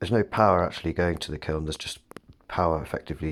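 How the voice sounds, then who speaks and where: A soft-spoken voice with a British accent. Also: man. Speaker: potter. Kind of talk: casual talk to camera. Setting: studio.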